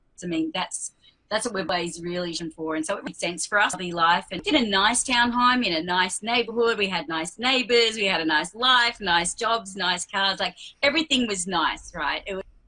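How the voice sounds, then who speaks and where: With an Australian accent and lively intonation, a woman talks at a moderate pace. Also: medium pitch for a woman. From Western Australia. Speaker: RV traveler. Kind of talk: casual interview.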